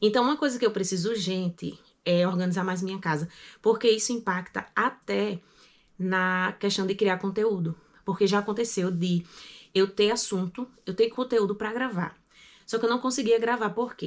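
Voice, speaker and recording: The recording is very clean, with a silent background. The pitch varies in an ordinary way. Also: woman, medium pitch for a woman. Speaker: vlogger. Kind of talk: casual vlog monologue. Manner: fast.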